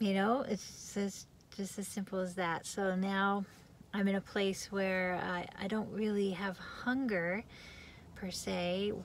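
A woman speaks at a very slow pace with fairly even intonation. The sound is dry with no echo, with light background noise. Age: 50s. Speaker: vlogger sharing fasting experience. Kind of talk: personal testimony vlog. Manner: casual, hesitant with fillers. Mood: calm, friendly. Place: car. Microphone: phone near.

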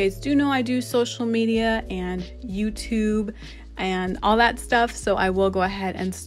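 Faint music can be heard in the background. Over it, a woman talks fairly slowly. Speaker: beauty vlogger. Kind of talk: casual vlog chat. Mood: relaxed, upbeat.

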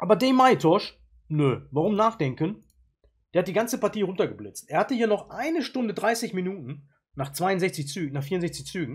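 Over a silent background in a very clean recording, a man speaks with a high pitch. His pace is moderate, broken by long, frequent pauses. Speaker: chess YouTuber and player. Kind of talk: chess game analysis. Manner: casual, with frequent filler sounds.

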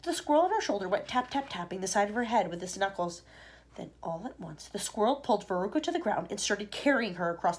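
The clip is plain reading aloud.

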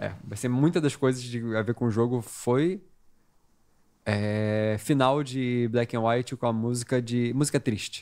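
A man at a fairly slow pace, medium pitch, fairly even intonation, a plain, everyday voice. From Brazil. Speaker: gaming podcast guest; podcast guest. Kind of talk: casual chat. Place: studio. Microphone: studio mic.

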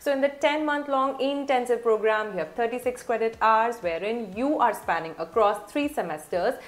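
A woman with a fairly high pitch speaks at a moderate pace, with lively intonation and hardly any pauses. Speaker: admissions consultant. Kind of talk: tutorial. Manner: formal. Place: home room.

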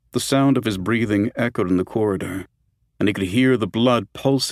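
An unforced reading voice, ordinary pitch variation, and a quiet background.

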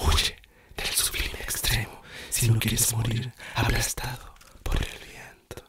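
A man is whispering. He speaks at a very slow pace. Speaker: poetry reader. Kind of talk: poetry reading, ASMR whispered reading. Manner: whispered, soft-spoken. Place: home room.

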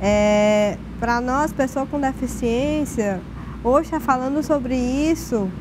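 Noticeable background noise sits behind a woman with a high pitch. She shows ordinary pitch variation. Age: 30s. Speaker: social worker; guest. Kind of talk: panel discussion. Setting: TV studio. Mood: earnest, reflective. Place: studio. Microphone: lapel.

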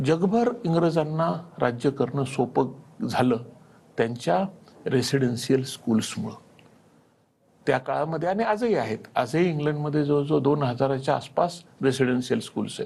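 Lively intonation from a man with a somewhat breathy, fairly high voice. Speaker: coaching class founder and teacher. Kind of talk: TV interview.

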